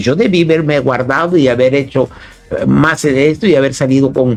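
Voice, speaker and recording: Fairly quick speech from a man with a fairly high pitch and ordinary pitch variation, music playing in the background. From Chiapas, Mexico. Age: 60s. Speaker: philosopher and poet. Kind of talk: interview. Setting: radio studio, live broadcast. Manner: halting, many repetitions and fillers.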